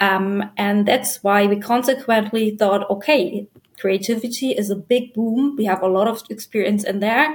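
With a German accent, a woman speaks in a somewhat breathy, fairly high voice with ordinary pitch variation and hardly any pauses. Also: moderate pace. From Germany. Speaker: business development manager at an art supply company. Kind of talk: interview.

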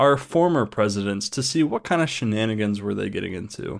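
This man has a normal speaking voice at medium pitch. He talks at a fairly quick pace. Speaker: podcast co-host. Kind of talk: casual chat. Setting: online voice call.

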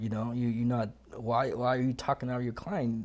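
Over a quiet background, a man of medium pitch with a Vietnamese accent speaks in a dark, mellow tone with monotone, flat intonation. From Vietnam, then Washington State. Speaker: landscaping business owner. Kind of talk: interview. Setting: studio. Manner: halting.

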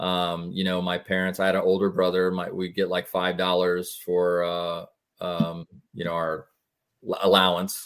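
The speaker has an American accent and a fairly slow pace. The intonation stays flat and monotone. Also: man, very deep, low pitch for a man. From Florida, West Pasco area. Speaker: mortgage loan officer. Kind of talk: casual interview.

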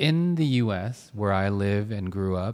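This man has a fairly low pitch and an American accent. His tone is dark and mellow, with ordinary pitch variation. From United States. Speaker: podcast co-host. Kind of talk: casual interview.

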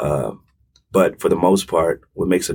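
A man is speaking. His pace is fairly quick. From Hampton, Virginia. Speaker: assistant dean of students and football coach. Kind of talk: interview. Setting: studio.

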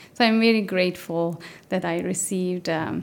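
In a Turkish accent, the speaker talks at a moderate pace with ordinary pitch variation. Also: woman. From Turkey. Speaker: mathematician, postdoctoral researcher. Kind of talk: interview. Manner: hesitant, many fillers.

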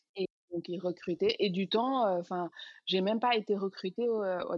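A woman speaks in a plain, everyday voice at a medium pitch and moderate pace, with fairly even intonation. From Senegal, Dakar. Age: 30s. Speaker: cosmetics entrepreneur. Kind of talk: interview.

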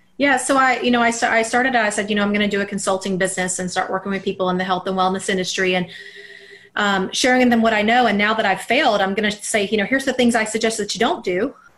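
A woman's medium-pitched voice with an American accent, very fast and fairly even in intonation, over noticeable background noise. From US South, Alabama. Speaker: mindset coach. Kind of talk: interview.

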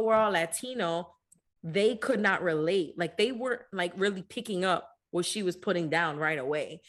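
Here a woman has a plain, everyday voice. Her pitch variation is ordinary. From US, Dominican-American family. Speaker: podcast co-host. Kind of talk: casual chat.

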